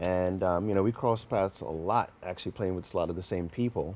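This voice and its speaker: A man's very deep, low voice with a New York accent, fairly even intonation and a moderate pace. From New York, Mount Vernon. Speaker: musician. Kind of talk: interview.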